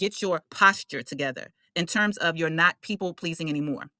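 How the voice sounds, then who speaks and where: A woman with a fairly low pitch sounds animated, bright and sharp, with ordinary pitch variation in a dry, close sound with no echo. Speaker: astrologer. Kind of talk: casual teaching monologue.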